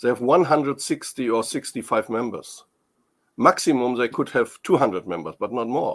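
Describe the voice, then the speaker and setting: A man with a German accent speaks at a moderate pace. The recording is very clean, with a silent background. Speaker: tourism industry expert. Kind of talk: interview. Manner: halting.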